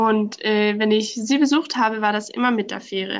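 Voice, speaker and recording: A woman speaks with a Danish accent. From southern Denmark. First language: Danish (speaking German). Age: 20s. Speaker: law student, islands promotion worker. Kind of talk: interview.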